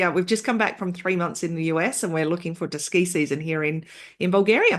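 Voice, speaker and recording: With an Australian accent, the woman talks. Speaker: entrepreneur, software founder. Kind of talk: podcast interview. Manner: halting, with fillers and false starts.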